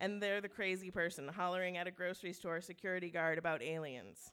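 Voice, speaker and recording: This woman has an unremarkable speaking voice, pitched fairly low. Her intonation stays fairly even. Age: 40s. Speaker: storyteller. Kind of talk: live storytelling on stage. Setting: stage with audience at a brewery.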